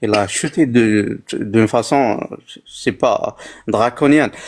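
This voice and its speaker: A man with an Algerian accent and ordinary pitch variation. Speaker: livestream guest. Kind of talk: heated debate. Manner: halting.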